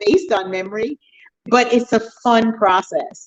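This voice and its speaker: A woman talks at a fairly slow pace in a plain, everyday voice, fairly high in pitch, with a dry, close sound and no echo. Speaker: author. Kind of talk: casual interview chat.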